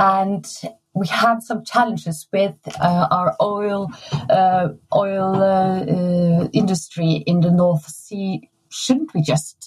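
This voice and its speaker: Speaking very slowly, a woman talks with a Norwegian accent. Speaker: design exhibition curator. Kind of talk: interview conversation. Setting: remote recording.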